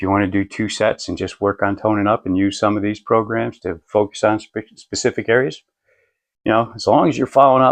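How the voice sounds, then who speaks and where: A man talks at a fairly quick pace with a fairly low pitch and fairly even intonation, in an unremarkable speaking voice. The background is quiet, and the sound is dry and close with no echo. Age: 60s. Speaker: fitness video creator. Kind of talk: tutorial. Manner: casual, filler-heavy.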